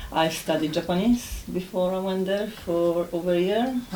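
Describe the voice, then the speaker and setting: The speech comes at a very slow pace with ordinary pitch variation, against noticeable background noise and audible room echo. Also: woman. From Poland. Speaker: ESOL exam candidate. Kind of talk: spoken exam presentation.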